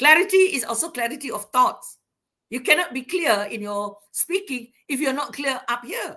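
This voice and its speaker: Using a raised, projected voice, a woman with a Malaysian accent speaks high in pitch, her bright, sharp tone moving in very wide pitch swings. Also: moderate pace. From Sarawak, Malaysia (Iban). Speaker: university academic, invited speaker. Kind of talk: lecture. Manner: loud.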